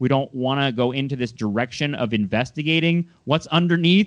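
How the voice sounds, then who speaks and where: A man with an American accent has an ordinary speaking voice, pitched fairly high. He talks at a fairly quick pace with ordinary pitch variation. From Southern California. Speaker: podcast host. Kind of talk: casual interview.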